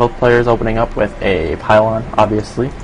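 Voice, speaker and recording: A man at medium pitch with an American accent and ordinary pitch variation, over noticeable background noise. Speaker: esports caster. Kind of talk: live commentary. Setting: live stream. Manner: hesitant, many fillers.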